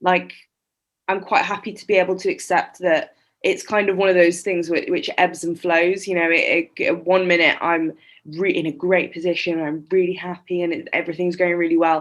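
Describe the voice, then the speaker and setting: In an English accent, a woman speaks at a fairly low pitch with a monotone, flat intonation. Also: moderate pace, quiet background. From England (Shropshire, West Midlands). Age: 20s. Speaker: poet and small business owner. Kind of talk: podcast interview.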